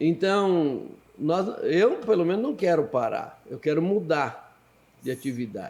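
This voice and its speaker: With very wide pitch swings, a man speaks at a high pitch and a very slow pace. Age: 70s. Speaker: pastor and missionary. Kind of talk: podcast interview.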